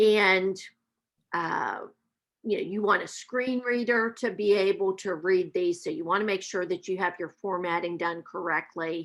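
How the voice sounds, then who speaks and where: A woman with an Appalachian accent speaks at a medium pitch, her voice rising and falling in an ordinary way. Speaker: math professor. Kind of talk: webinar presentation. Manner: slow.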